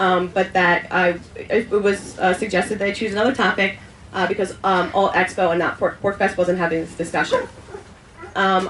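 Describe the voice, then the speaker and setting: A woman talks over noticeable background noise. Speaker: panel speaker at libertarian festival. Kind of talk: panel discussion. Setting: event with audience, passed microphone. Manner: fast; halting, many ums.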